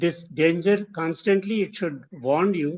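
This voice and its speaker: In an Indian accent, a man speaks at a very slow pace with a high pitch and ordinary pitch variation. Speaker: design professor. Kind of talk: interview conversation. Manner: halting.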